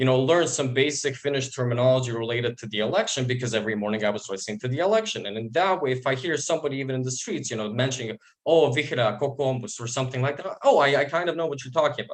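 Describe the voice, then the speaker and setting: A man with a Bosnian accent at a very fast pace, hardly any pauses. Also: medium pitch for a man, ordinary pitch variation. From Bosnia and Herzegovina. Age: 20s. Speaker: university student. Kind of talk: interview testimony. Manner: halting, repeats words.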